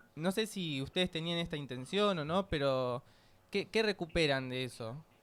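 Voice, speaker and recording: A man with a Rioplatense accent talks at a moderate pace with lively intonation. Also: fairly high pitch for a man. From Buenos Aires, Argentina. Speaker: radio host. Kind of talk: radio interview.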